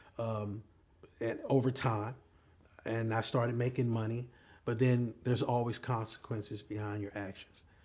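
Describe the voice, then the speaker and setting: A man speaks at a moderate pace with monotone, flat intonation and a somewhat breathy voice. He leaves long, frequent pauses. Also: medium pitch for a man. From US South, Columbia, South Carolina. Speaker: pastor. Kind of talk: testimony.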